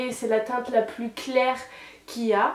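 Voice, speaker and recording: A woman speaks with a high pitch. Noticeable background noise runs underneath. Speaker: beauty youtuber. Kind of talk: product review. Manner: stammering.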